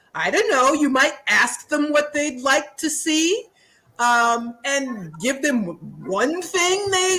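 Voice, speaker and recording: Her high voice is raised and projected, bright and sharp, with lively intonation. The woman speaks at a very slow pace. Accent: American. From New York. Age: 60s. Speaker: author and activist. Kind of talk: casual chat.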